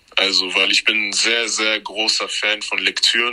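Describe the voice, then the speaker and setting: At a moderate pace, a man talks while noticeable background noise fills the recording. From Cameroon. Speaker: history content creator. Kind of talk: casual chat.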